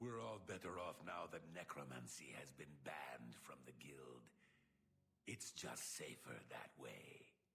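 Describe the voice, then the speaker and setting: A man is whispering. He uses a put-on character voice. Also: fairly slow pace. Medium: video game. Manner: formal, officious.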